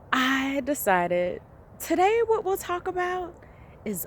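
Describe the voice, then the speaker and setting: A woman talks at a very slow pace with very wide pitch swings. Noticeable background noise is present. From Jamaica. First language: Jamaican Patois. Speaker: life coach. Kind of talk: motivational vlog talk.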